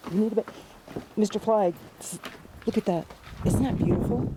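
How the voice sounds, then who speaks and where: There is noticeable noise behind the voice. The speaker is a woman. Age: 60s. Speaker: home gardener and self-published author. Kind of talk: casual vlog. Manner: animated.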